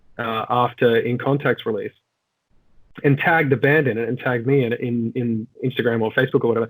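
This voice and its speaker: Speaking at a fairly quick pace, a man with an Australian accent keeps his intonation fairly even. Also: medium pitch for a man. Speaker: rock vocalist. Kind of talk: casual interview chat.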